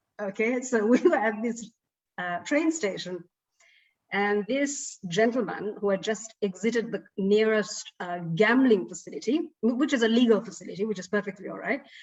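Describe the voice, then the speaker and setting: Somewhat breathy and fairly high, this woman's voice moves at a moderate pace with ordinary pitch variation. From Sri Lanka. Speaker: broadcaster and actor. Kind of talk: interview.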